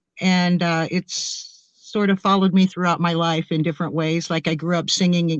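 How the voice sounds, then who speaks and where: Speaking at a moderate pace with hardly any pauses, a woman uses a fairly low pitch and a flat, monotone intonation. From US Midwest, Springfield, Ohio. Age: 60s. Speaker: experiencer guest, singer. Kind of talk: interview storytelling.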